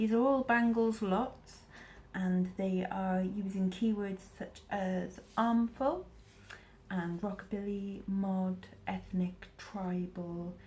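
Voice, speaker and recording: A woman with a Welsh accent speaks very slowly in a somewhat breathy voice, her intonation fairly even. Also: medium pitch for a woman. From Wales. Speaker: eBay reseller. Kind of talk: casual talk to camera.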